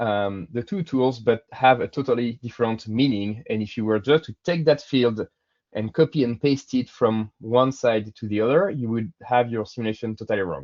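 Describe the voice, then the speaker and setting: With a French accent, this man's voice shows ordinary pitch variation. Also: medium pitch for a man, moderate pace. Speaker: software engineer presenter. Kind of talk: webinar presentation. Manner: hesitant, many fillers.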